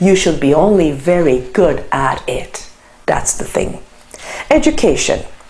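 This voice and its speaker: Speech in a Turkish accent at a fairly slow pace with very wide pitch swings, over noticeable background noise and audible room echo. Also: woman. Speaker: lecturer. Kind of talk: lecture.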